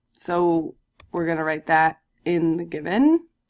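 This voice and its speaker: The recording is very clean with a silent background. A woman speaks in a fairly low pitch. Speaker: math teacher. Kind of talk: recorded lesson tutorial.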